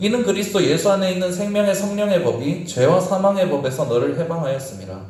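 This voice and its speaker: A man talks at a fairly quick pace with hardly any pauses, in a high pitch with ordinary pitch variation, against noticeable background noise. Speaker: youth pastor. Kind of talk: sermon.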